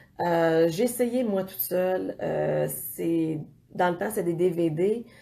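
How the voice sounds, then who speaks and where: A woman's medium-pitched, dark, mellow voice in a Quebec accent, very slow with lively intonation. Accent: Québécois French. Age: 40s. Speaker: fitness coach. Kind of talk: casual vlog talk. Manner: hesitant, many fillers.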